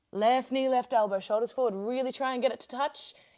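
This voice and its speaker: Speaking at a fairly quick pace, a woman has an unremarkable speaking voice, fairly high in pitch, with ordinary pitch variation. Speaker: yoga teacher. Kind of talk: guided yoga class instruction.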